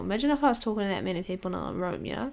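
With an Australian accent, a woman speaks in a medium pitch with ordinary pitch variation and vocal fry. The recording is very clean, with a silent background. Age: 20s. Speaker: podcast host. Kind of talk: solo life update monologue.

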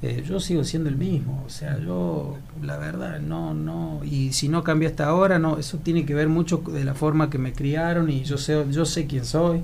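With audible room echo and noticeable background noise, a man speaks at a moderate pace with hardly any pauses. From Argentina, Córdoba province (Laguna Larga). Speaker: actor and model. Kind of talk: casual interview.

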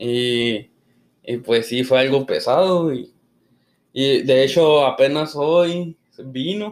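Speaking very slowly with long, frequent pauses, a man uses ordinary pitch variation. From northern Mexico, Chihuahua. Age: 20s. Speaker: podcast host. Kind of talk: casual chat.

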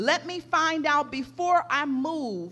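Over music in the background, a woman with a high pitch speaks in an animated tone, her raised, projected voice making very wide pitch swings. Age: 50s. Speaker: pastor. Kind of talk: sermon. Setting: church.

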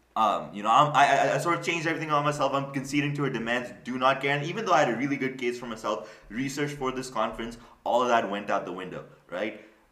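A man talks at a very fast pace in a fairly high pitch. Noticeable background noise is present. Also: ordinary pitch variation. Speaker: podcast host. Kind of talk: casual comedic podcast chat.

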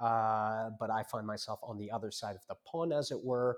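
A man speaks at medium pitch and a moderate pace with an American accent. The recording is very clean, with a silent background. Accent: American-sounding. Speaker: lawyer and discussion host. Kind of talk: discussion. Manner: formal.

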